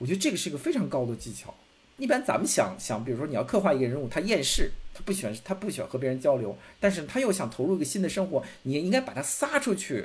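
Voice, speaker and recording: Very wide pitch swings run through speech delivered at a very fast pace. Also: man, high pitch for a man. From Beijing, China. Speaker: film critic. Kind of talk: casual chat. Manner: repetitive, stammering restarts.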